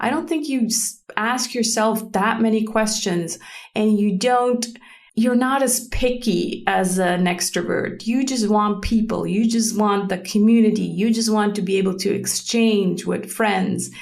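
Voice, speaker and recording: Amid audible room echo, a woman with a Swiss German accent speaks at a fairly slow pace in a somewhat breathy, fairly high voice, keeping very even loudness and fairly even intonation. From German-speaking Switzerland. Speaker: podcast host. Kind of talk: unscripted solo podcast talk. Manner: hesitant, with many fillers.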